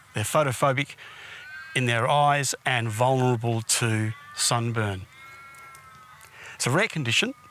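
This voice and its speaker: With an Australian accent and medium pitch with ordinary variation, a man speaks with long, frequent pauses over noticeable background noise. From Australia, Perth area. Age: 60s. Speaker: documentary filmmaker telling his life story. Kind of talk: documentary narration.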